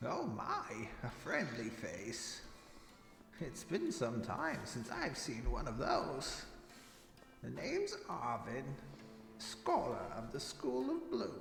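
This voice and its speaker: Using a put-on character voice, a man talks at a very slow pace with long, frequent pauses, over clear background noise and a clear echo. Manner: warm, welcoming.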